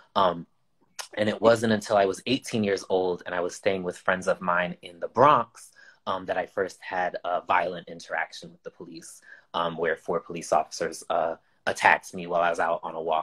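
At a moderate pace, a man speaks with big swings in loudness, the sound dry and close with no echo. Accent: American. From Amherst, Massachusetts. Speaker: author, artist and educator. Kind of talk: panel discussion.

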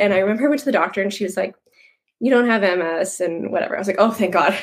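Speaking at a medium pitch, a woman has a Canadian Prairie accent. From Canadian Prairies (Moose Jaw, Saskatchewan). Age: 30s. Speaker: online health and fitness coach. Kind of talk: casual interview.

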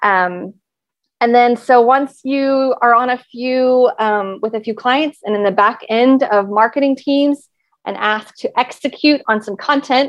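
With an American accent, a woman speaks in a high pitch with ordinary pitch variation. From Texas. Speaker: content marketing consultant. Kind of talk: podcast interview.

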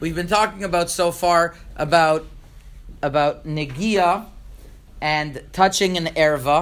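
A man with a high pitch and fairly even intonation speaks at a fairly slow pace, leaving long, frequent pauses. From Montreal, Canada. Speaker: rabbi. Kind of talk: lecture. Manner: halting, with frequent repetitions.

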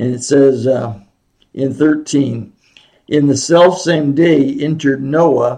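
In an American accent, a man with a fairly high pitch and a dark, mellow tone speaks at a very slow pace. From Oregon, US Pacific Northwest. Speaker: Bible teacher. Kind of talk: Bible lesson. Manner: halting.

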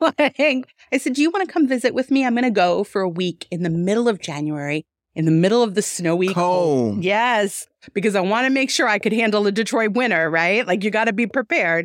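In an American accent, a woman talks at a fairly quick pace, her medium-pitched voice making very wide pitch swings in a dry, close recording with no echo. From New York. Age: 40s. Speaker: boutique owner. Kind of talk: interview.

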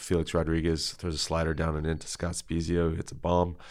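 A man's very deep, low voice in a monotone, flat intonation, with an American accent. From Northern California (Tracy area). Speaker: lay church elder. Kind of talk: casual interview. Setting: studio with camera. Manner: halting, many fillers.

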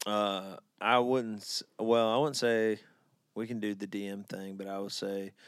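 In a very clean recording with a silent background, a man with an Alabama accent speaks at a moderate pace, with a fairly low pitch and fairly even intonation. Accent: Alabama Southern US. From Birmingham, Alabama. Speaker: country singer. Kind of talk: casual chat.

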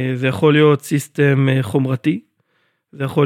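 Recorded with a dry, close sound and no echo, a man speaks at a fairly high pitch and a moderate pace with ordinary pitch variation. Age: 30s. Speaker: software engineering director. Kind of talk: technical interview. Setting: office recording.

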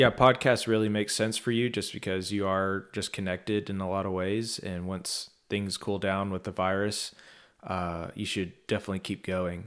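A fairly low-pitched man with an American accent, moderate pace and monotone, flat intonation, on a very clean recording with a silent background. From Texas. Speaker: podcast host, documentary journalist. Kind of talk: casual interview chat.

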